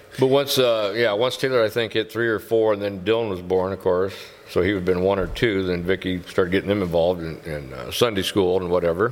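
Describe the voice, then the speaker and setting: Very fast and very deep, a man's low voice moves along with ordinary pitch variation. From Whiting (hometown). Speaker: podcast guest sharing faith story. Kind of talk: casual interview, personal testimony.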